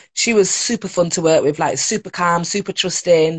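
A woman with a Yorkshire accent speaks at a moderate pace, her fairly low pitch showing ordinary variation. The sound is dry and close with no echo, over a quiet background. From northern England (Leeds). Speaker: TV presenter and production worker. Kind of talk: casual chat. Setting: video call.

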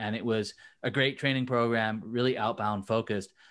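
A man speaks at a fairly quick pace with a medium pitch and an unremarkable speaking voice. The background is quiet. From England, moved to US in 2000. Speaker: LinkedIn content coach for recruiters. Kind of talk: casual interview chat. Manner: many fillers and restarts.

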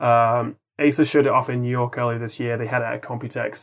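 This speaker is a man. He has an English accent. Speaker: tech YouTuber. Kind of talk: casual chat.

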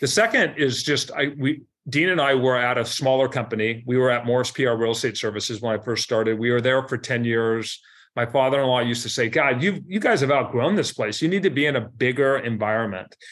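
Fairly quick and in an ordinary speaking voice, a man with an American accent speaks at medium pitch with ordinary pitch variation and very even loudness, in a very clean recording with a silent background. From US Pacific Northwest, Seattle. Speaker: commercial real estate broker. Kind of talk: interview.

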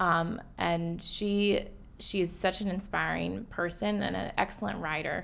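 A woman with an American accent at a fairly slow pace, with audible room echo. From US South, Atlanta. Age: 20s. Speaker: therapist and patient sharing her story. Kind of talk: casual interview.

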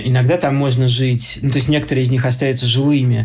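This man's voice sits at a medium pitch and sounds somewhat breathy. He moves along at a fairly quick pace. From Moscow, Russia. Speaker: architecture critic and lecturer. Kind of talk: lecture. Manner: halting, many filler sounds.

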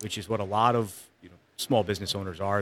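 This man's voice sits fairly low in pitch. His tone is bright and sharp. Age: 30s. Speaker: Marine veteran and small business owner. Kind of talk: casual chat.

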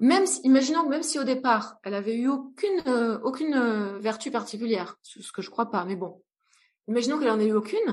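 Fairly quick, high-pitched woman's voice with lively intonation and big swings in loudness over a quiet background. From France, rural, partly raised in Brazil. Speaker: entrepreneur and psychologist. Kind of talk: interview conversation. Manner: hesitant, many fillers.

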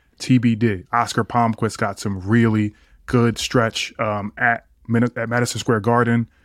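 The man speaks at a fairly slow pace with monotone, flat intonation in a dry, close sound with no echo. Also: medium pitch for a man, very clean recording, silent background. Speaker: podcast co-host, former college basketball player. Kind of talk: casual sports chat.

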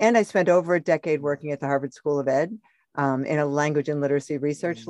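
At a fairly quick pace, a woman speaks with a very deep, low pitch and ordinary pitch variation, in a dry, close sound with no echo over a quiet background. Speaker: parenting organization founder. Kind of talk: casual podcast interview.

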